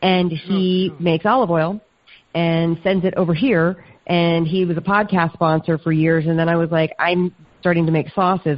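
A woman with an American accent talks fairly quickly in an unremarkable speaking voice, her pitch fairly low. Her intonation stays fairly even and her loudness very even. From US South. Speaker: food entrepreneur and podcaster. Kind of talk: interview.

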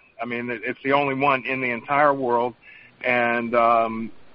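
A man with a North Carolina accent speaks in a monotone, with flat intonation. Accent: US Southern (North Carolina). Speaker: chef and vodka distiller. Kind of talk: interview.

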